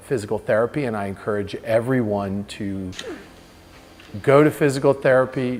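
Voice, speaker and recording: With music playing in the background, a man talks at a medium pitch and with fairly even intonation. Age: 40s. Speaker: senior vice president at a tech company. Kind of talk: patient testimonial.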